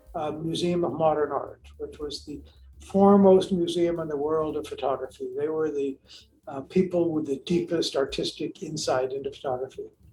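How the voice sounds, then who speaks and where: Music plays in the background as a man speaks with an American accent. His pitch is high, and his pace is moderate. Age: 80s+. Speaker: cinematographer. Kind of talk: interview.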